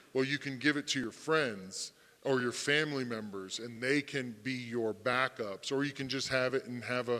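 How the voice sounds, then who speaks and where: A man speaks loudly at a moderate pace with a bright, sharp tone. His pitch is medium, with ordinary variation. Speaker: fintech panelist. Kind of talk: panel discussion. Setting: conference stage with audience.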